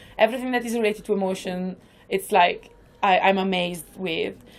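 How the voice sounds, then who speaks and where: A woman talks at a moderate pace with an Italian accent, medium pitch and fairly even intonation. The recording is very clean, with a silent background. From northern Italy. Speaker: improviser. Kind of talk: podcast interview. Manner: talkative.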